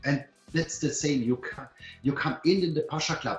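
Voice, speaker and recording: With music in the background, a man speaks in an enthusiastic tone at a moderate pace. His pitch is fairly high. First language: not English. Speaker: company co-founder presenting to members. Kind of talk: webinar presentation. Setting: online webinar. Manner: halting, many fillers and restarts.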